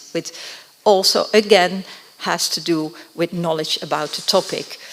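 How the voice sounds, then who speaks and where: Noticeable background noise is present. A woman with a Dutch accent speaks with ordinary pitch variation. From Netherlands. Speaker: education researcher. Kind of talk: conference presentation.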